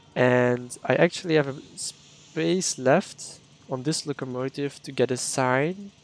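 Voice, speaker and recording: Speaking in a Dutch accent, a man keeps a medium pitch and fairly even intonation. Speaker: game streamer. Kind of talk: live gameplay stream chat. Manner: casual, halting.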